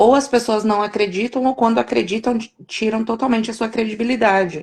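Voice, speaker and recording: Speaking at a moderate pace, a woman uses a normal speaking voice of medium pitch. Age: 30s. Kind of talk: live-stream interview. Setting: online live stream.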